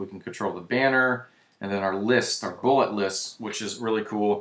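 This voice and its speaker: An ordinary speaking voice from a man at a fairly low pitch, moderate in pace with fairly even intonation, on a very clean recording with a silent background. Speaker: web design tutorial presenter. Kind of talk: screen-recorded software tutorial. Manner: casual, with many fillers and restarts.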